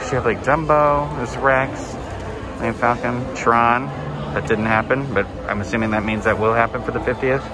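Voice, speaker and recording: A man speaks at a moderate pace with ordinary pitch variation, his voice dry with no echo over loud background noise. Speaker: theme park vlogger. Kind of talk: casual vlog commentary. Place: shop. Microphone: phone near.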